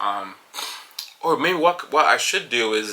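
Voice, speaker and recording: A man speaks with a Jamaican accent. There is noticeable background noise. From Jamaica, moved to Paterson, New Jersey at 14. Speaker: podcast host, construction company co-owner. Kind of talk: solo casual monologue. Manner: fast; hesitant, many fillers.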